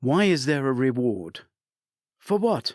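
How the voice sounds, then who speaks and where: A man uses a put-on character voice at a medium pitch. His pitch swings very widely. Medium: read story.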